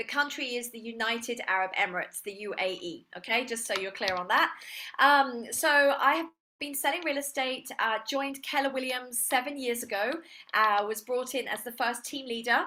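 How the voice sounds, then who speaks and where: Using an English accent, a woman speaks in a high pitch with a bright, sharp tone and ordinary pitch variation. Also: moderate pace. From England. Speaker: real estate agent and trainer. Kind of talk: online seminar presentation.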